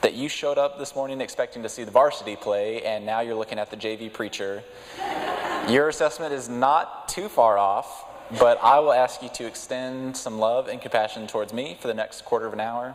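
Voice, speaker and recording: Over noticeable background noise, a man with an American accent speaks at a fairly quick pace in a medium pitch. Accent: Texas twang, thicker when speaking publicly. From West Texas. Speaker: lay preacher. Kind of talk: sermon. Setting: church.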